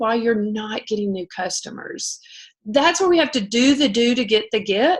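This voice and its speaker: The speaker talks at a moderate pace in a Southern US accent. The intonation is lively. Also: woman. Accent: Southern twang. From US South. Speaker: direct sales team leader. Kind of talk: casual livestream pep talk.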